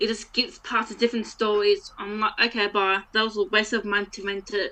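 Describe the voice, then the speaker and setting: An unremarkable speaking voice from a woman, fairly high in pitch, at a moderate pace. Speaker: podcast co-host. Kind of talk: casual chat.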